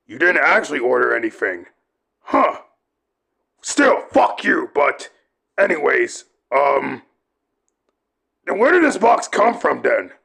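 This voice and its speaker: This is a put-on character voice. It is marked by long, frequent pauses. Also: man, fairly slow pace. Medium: audio drama. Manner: angry, shouting, profane.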